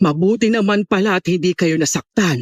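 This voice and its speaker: In a put-on character voice, the speaker growls along at a moderate pace. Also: man. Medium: audio drama.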